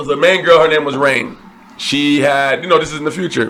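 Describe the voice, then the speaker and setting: Over noticeable background noise, a man speaks with a fairly high pitch. His pace is fairly quick. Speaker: podcast co-host. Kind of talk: casual movie review chat.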